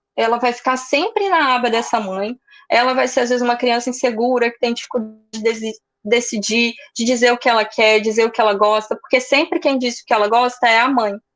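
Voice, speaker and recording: Speaking at a fairly quick pace, a woman with a high voice keeps her intonation fairly even. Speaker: psychoanalyst. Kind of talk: lecture.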